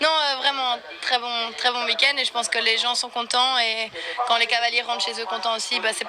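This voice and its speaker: A woman with a fairly high voice talks at a moderate pace while noticeable background noise plays behind her. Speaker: equestrian eventing rider. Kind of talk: post-competition interview. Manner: hesitant, many fillers.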